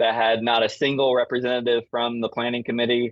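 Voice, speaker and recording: A man speaks at a medium pitch in an American accent. His pace is fairly quick. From US South. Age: 30s. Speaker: event organizer in floral industry. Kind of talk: casual podcast chat.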